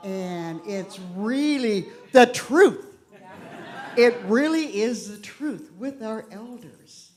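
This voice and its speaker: A woman's fairly high, lively voice at a very slow pace, with big swings in loudness and audible room echo. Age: 60s. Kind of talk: talk at a church service.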